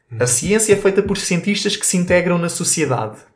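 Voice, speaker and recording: The speaker is a man with a high-pitched voice. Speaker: podcast co-host, physicist. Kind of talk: casual chat.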